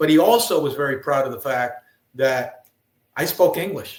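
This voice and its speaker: A somewhat breathy man at a fairly high pitch. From El Paso, Texas and Juarez, Mexico. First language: Spanish. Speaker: retired Marine general. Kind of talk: interview storytelling. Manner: halting, many fillers.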